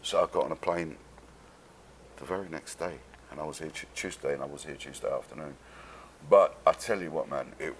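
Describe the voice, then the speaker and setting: Speaking at a fairly quick pace, a man talks with a London accent. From London, England. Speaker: actor. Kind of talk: casual chat. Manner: animated.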